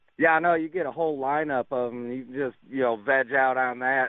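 Here a man has an unremarkable speaking voice at a medium pitch. He keeps a moderate pace and fairly even intonation. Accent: American. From New York. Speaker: radio caller. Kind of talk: call-in to talk radio. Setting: phone call.

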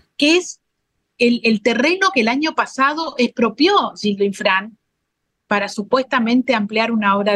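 Speaking at a moderate pace, a woman uses lively intonation and a bright, sharp tone at a fairly high pitch. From Formosa, Argentina. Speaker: provincial legislator. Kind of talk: interview.

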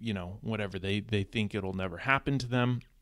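A man with an American accent at a medium pitch and fairly quick pace, on a very clean recording with a silent background. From US West Coast, Southern California. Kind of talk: casual interview.

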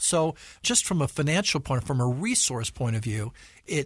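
A man with an American accent speaks at a moderate pace and medium pitch, somewhat breathy. His pitch swings very widely, and the background is quiet. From Utah, US. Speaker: church leader. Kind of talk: interview.

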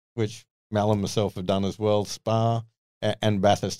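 A man's fairly low voice, with fairly even intonation, comes through dry and close with no echo on a very clean recording with a silent background. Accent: Australian. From Sydney, Australia. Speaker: former racing driver. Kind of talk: casual interview chat.

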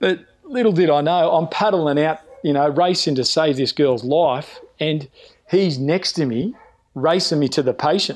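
A man with an Australian accent, a fairly high pitch, ordinary pitch variation, very even loudness and a moderate pace. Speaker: lifeguard. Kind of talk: casual interview chat.

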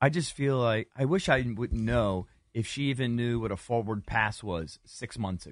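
A man's normal speaking voice at medium pitch and moderate pace, with ordinary pitch variation. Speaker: sports radio host. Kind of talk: casual sports talk banter.

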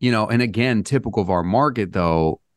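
Against a quiet background, a hoarse man talks at a fairly quick pace with lively intonation. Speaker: real estate agent. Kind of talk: casual interview about the housing market.

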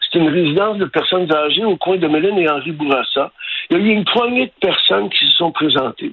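With a high pitch and lively intonation, a man speaks at a fairly quick pace. His loudness stays very even. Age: 60s. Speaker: concerned local resident. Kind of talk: radio interview.

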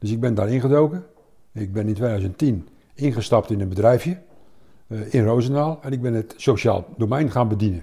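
A man's somewhat breathy voice of medium pitch, dark, mellow tone, ordinary pitch variation and a moderate pace. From Netherlands, Overijssel. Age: 60s. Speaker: retired army officer. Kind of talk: interview.

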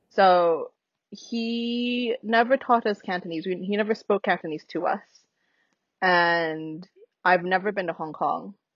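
A woman with a medium pitch talks at a fairly slow pace. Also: ordinary pitch variation. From US, Minnesota (St. Paul). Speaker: anthropologist, interviewee. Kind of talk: casual interview.

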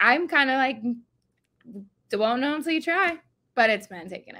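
Raised and projected, a woman's high voice has a bright, sharp tone and lively intonation. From New Jersey. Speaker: supplement company employee. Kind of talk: casual chat.

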